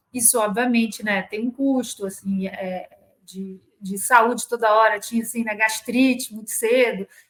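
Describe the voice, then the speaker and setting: A woman speaks at a fairly slow pace with a Rio de Janeiro accent. Her pitch is fairly high, with ordinary variation. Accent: carioca. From Rio de Janeiro, Brazil. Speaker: corporate lawyer. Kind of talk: interview.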